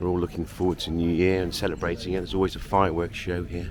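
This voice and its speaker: A man with a very deep, low pitch talks at a fairly quick pace against noticeable background noise. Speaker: travel vlogger. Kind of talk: walking vlog tour. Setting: outdoors at a harbour.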